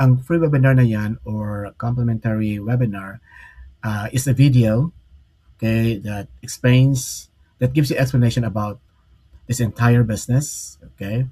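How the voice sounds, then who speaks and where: A man with a Filipino accent talks at a moderate pace and medium pitch. His voice is somewhat breathy, his intonation fairly even. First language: Tagalog. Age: 60s. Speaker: online business mentor. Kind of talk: live stream talk. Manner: halting, many fillers.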